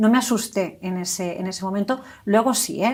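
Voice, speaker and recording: A woman talks at a fairly quick pace and medium pitch. The recording is very clean, with a silent background. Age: 40s. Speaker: stroke survivor, hospital employee. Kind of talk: testimony. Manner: halting.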